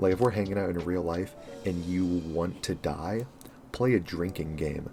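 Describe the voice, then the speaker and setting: The man's tone is dark and mellow, and his pace is moderate. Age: 20s. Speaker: online content creator and script writer. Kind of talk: casual Q&A monologue. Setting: home recording setup. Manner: monotone; rambling, conversational.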